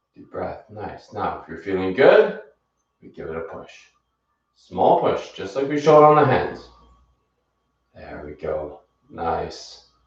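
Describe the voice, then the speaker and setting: A man talks at a fairly slow pace with long, frequent pauses. Room echo is audible. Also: big swings in loudness. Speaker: fitness instructor. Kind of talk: live exercise class instruction. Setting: livestream. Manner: encouraging, calm pacing; soft-spoken.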